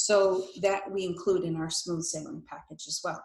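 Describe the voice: A woman talks with fairly even intonation and a slightly mellow tone amid audible room echo. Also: fairly low pitch for a woman, moderate pace.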